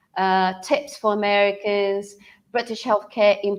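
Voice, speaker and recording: A woman is speaking. Her pace is fairly slow. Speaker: webinar host. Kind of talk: live webinar presentation. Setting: live video webinar. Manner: hesitant, many fillers.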